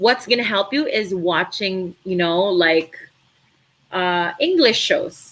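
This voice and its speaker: Speaking very slowly in a Filipino accent, a woman keeps a medium pitch with ordinary pitch variation. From Philippines, Cebu. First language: Tagalog. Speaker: virtual assistant trainer. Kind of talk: live stream Q&A. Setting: live stream.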